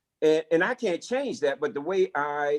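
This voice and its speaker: With a strong Southern US accent, a high-pitched man speaks at a fairly slow pace with lively intonation. The background is quiet, and the sound is dry and close with no echo. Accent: thick Southern US. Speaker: corporate executive. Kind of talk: lecture Q&A on video call. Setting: video call. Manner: halting, many repetitions and fillers.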